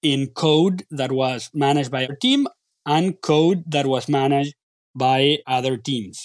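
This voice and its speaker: With a Spanish accent, a man speaks at a moderate pace in a fairly high pitch with ordinary pitch variation, the sound dry and close with no echo against a quiet background. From Argentina. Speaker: product and technology executive. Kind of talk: interview. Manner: halting with repeated words.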